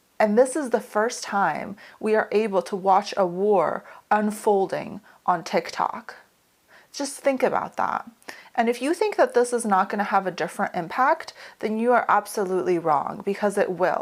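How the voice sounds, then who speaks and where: This woman has an American accent and a medium pitch. She speaks at a moderate pace with ordinary pitch variation. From Ukraine, grew up mostly in US. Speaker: leadership coach. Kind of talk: educational talk to camera.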